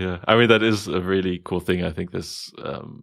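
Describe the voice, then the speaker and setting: A man with a very deep, low pitch is heard on a very clean recording with a silent background. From Germany. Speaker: podcast host. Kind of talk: casual chat.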